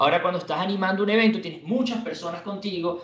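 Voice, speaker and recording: A man with a Venezuelan accent, high pitch and ordinary pitch variation, in audible room echo. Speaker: radio announcer and sports anchor. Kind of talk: interview answer. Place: home room.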